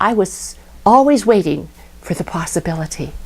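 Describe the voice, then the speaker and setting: A woman speaks at a medium pitch and a moderate pace. Her pitch swings very widely. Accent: American. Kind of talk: personal memory storytelling.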